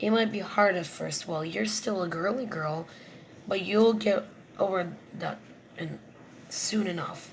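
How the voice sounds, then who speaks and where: Clear background noise sits under a raspy, put-on character voice at middle pitch and moderate pace, broken by long, frequent pauses. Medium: read story.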